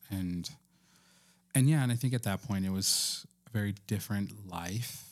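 An ordinary speaking voice from a man with an American accent, fairly low pitch, ordinary pitch variation and a fairly slow pace, in a very clean recording with a silent background. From Texas and New Mexico. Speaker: podcast co-host. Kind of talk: casual chat.

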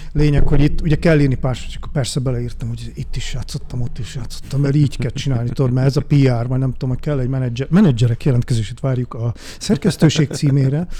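Speaking at a very fast pace with hardly any pauses, a man keeps his intonation fairly even. His pitch sits in the medium range. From Budapest, Hungary (Újpest). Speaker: DJ and sound designer. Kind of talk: casual interview. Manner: halting, many fillers.

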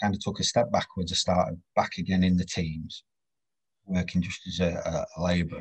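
With a Yorkshire accent, a man talks at a moderate pace. His very deep, low voice is somewhat breathy. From northern England, Doncaster. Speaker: railway health and safety practitioner. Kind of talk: casual interview.

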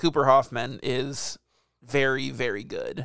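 On a very clean recording with a silent background, a man speaks fairly slowly in an ordinary speaking voice. His pitch is fairly high with ordinary variation, and the sound is dry and close with no echo. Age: 30s. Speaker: podcast host. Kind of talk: casual chat.

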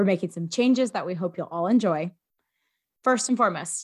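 On a very clean recording with a silent background, a woman uses lively intonation at a medium pitch. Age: 20s. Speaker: political podcast co-host. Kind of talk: casual chat.

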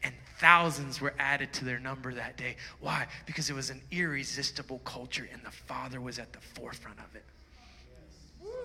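A man speaks in an animated tone. His pace is moderate, with noticeable background noise. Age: 40s. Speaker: pastor. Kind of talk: sermon. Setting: church.

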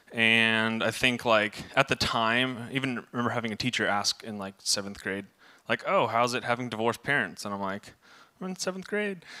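A man speaks with an American accent at a medium pitch, his tone bright and sharp. His pitch varies in an ordinary way at a moderate pace, on a very clean recording with a silent background. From Southern California. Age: 20s. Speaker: youth ministry volunteer. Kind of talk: testimony.

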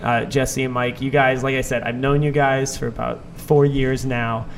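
Over music in the background, a man with an American accent talks at a moderate pace and medium pitch in a monotone, flat intonation. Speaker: podcast host. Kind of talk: casual interview chat.

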